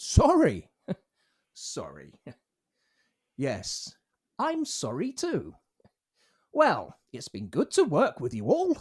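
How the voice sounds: In a put-on character voice, a man talks slowly at a fairly high pitch with a slightly husky edge and very wide pitch swings. Long, frequent pauses break up his speech, and the recording is very clean with a silent background.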